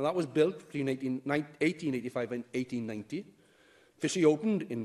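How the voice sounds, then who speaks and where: The setting is quiet. Lively intonation marks the man's speech. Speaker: elected member speaking in debate. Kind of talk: formal debate speech. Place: hall. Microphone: podium.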